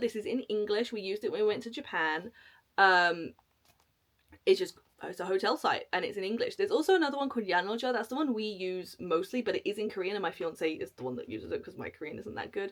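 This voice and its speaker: This woman talks very fast in a British accent, her pitch fairly high. Her loudness swings in big ways. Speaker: travel vlogger. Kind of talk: casual tutorial to camera.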